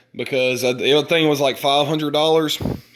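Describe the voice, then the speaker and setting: A man delivers his words at a fairly slow pace, with audible echo from the room. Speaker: DIY hobbyist showing an ATV speaker build. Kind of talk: casual show-and-tell video. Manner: halting, stumbling over words.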